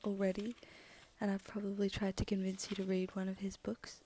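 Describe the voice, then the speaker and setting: A woman whispers in a soft-spoken way. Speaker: audiobook reader. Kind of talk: casual chat. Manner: near-whisper, soft; hesitant, many ums.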